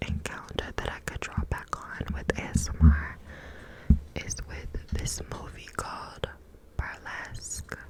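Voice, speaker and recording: Someone whispers at a very slow pace in a gentle, soothing tone. Noticeable background noise is present. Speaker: ASMR content creator. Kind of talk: ASMR whisper ramble to camera. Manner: whispered, gentle, soothing.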